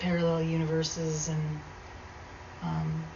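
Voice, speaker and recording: Soft-spoken and at a very slow pace, a woman talks in a fairly low pitch amid noticeable background noise and audible room echo. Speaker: video blogger. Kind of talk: casual monologue storytelling. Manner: hesitant, many fillers.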